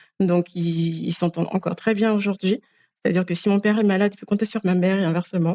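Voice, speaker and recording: With an Antillean accent, a woman speaks at a medium pitch with fairly even intonation. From Guadeloupe, French Antilles. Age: 30s. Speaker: podcast guest. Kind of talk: personal interview testimony. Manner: hesitant, with frequent fillers.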